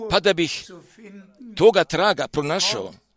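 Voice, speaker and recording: Very slowly and in a high voice, a man speaks with ordinary pitch variation in a dry, close sound with no echo. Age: 80s. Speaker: preacher. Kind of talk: sermon.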